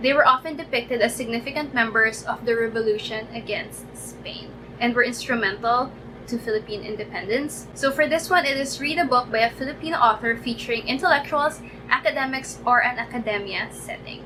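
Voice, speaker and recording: A woman at a fairly quick pace, ordinary pitch variation, noticeable background noise. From Philippines. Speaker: book reviewer. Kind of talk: casual talk to camera. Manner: stammering.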